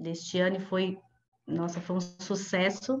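With light background noise behind her, a woman speaks at a fairly slow pace with fairly even intonation. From Brazil, São Paulo. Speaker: company representative. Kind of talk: casual announcement. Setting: video call. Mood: warm, smiling. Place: home room. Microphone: earbuds.

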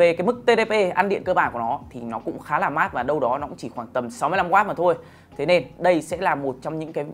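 The man talks at a fairly quick pace with lively intonation and big swings in loudness. Light background noise can be heard. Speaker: presenter. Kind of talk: product review presentation. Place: studio. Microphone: lapel.

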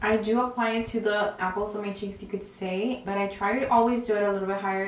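A woman speaks very fast in a monotone, flat delivery, with audible room echo and light background noise. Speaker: beauty vlogger. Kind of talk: makeup tutorial. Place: home room.

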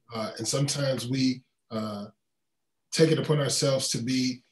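Room echo is audible as a man with an American accent speaks at a medium pitch with ordinary pitch variation. His voice is somewhat breathy. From North Carolina (Raleigh); North Carolina. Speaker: pastor and lawyer; conference panelist. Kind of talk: panel discussion. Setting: video call. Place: home room. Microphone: webcam.

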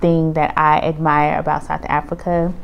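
A woman talks at a fairly slow pace with a fairly low pitch. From United States. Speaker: vlogger, Air Force retiree. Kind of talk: casual vlog monologue.

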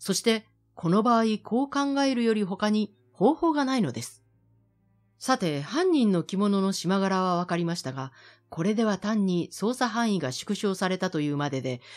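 Against music in the background, a woman with a medium pitch talks at a moderate pace with very wide pitch swings. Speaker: announcer. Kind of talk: literary reading.

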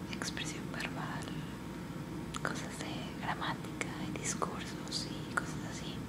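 A woman speaks at a very slow pace. Loud background noise surrounds her voice. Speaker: university student taking classes, aspiring health-care worker. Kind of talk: ASMR-style whispered ramble about personal life. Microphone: webcam.

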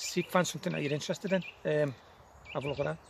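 This man speaks at a fast pace. His intonation stays fairly even.

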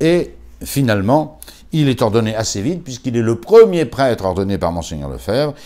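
A man's voice with very wide pitch swings, at a moderate pace, over a quiet background. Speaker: priest; priest recalling a deceased colleague. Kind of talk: memorial talk. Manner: halting. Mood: warm, admiring, animated. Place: home room.

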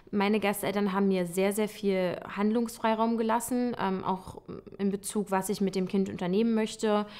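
A woman's voice with fairly even intonation at a moderate pace. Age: 20s. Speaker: occupational therapist. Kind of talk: testimonial interview. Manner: hesitant with many fillers. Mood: warm, relaxed, positive. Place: home room.

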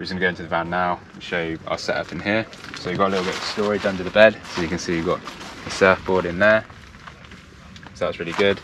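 Over noticeable background noise, a man speaks very fast in a very deep, low voice with monotone, flat intonation. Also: dry sound with no echo. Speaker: van camper vlogger. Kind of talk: casual vlog chat. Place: open country.

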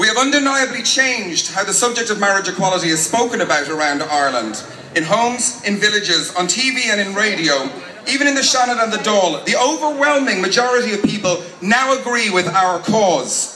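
A man uses a raised, projected voice with lively intonation at a fairly quick pace, with audible room echo and light background noise. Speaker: speaker. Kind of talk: political rally speech. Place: street.

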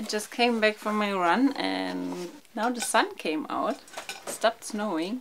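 A woman speaks very slowly as light background noise sits behind her. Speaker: vlogger. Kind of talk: casual vlog chat. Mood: cheerful, upbeat. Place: home room.

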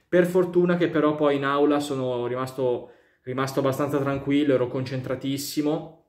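A man talks at a moderate pace with fairly even intonation. The room echo is audible, though the background stays quiet. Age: 20s. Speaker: YouTuber. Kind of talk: casual vlog monologue. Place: home room. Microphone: phone near.

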